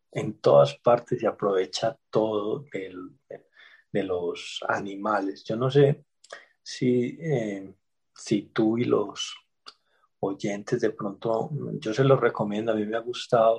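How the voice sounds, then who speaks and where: A man speaks very slowly at a medium pitch. His voice is somewhat breathy, with ordinary pitch variation. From Colombia, Medellín (Antioquia). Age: 40s. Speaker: history professor. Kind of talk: interview.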